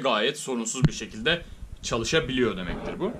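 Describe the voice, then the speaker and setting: Very wide pitch swings mark this man's speech, delivered at a very fast pace. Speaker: tech reviewer / YouTuber. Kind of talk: tutorial. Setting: home, recording with headset mic. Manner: casual, explanatory. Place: home room.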